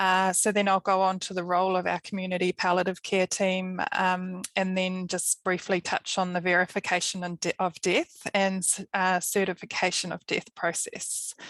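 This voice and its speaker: With a New Zealand accent, a woman speaks at a moderate pace with hardly any pauses, her medium pitch held in a monotone, flat intonation. The sound is dry and close, with no echo. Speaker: palliative care nurse. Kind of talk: webinar presentation.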